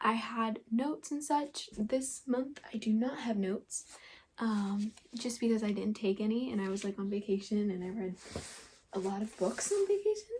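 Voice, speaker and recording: Quiet and somewhat breathy, the voice moves at a moderate pace. Its pitch varies in an ordinary way. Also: woman, fairly high pitch for a woman. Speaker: booktuber. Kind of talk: casual vlog.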